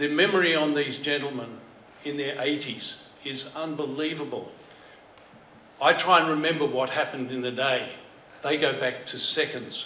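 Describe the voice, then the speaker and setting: Pausing long and often, a man with an Australian accent and a fairly high pitch speaks at a moderate pace with fairly even intonation, amid audible room echo and light background noise. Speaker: former telecom worker. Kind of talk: presentation. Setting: stage with audience. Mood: admiring, congratulatory. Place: hall. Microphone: podium.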